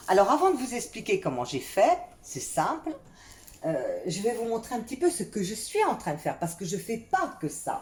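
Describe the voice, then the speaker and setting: The voice has vocal fry and moves through very wide pitch swings. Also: woman, fairly high pitch for a woman, moderate pace. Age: 60s. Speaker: vlogger. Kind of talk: home video tutorial. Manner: halting.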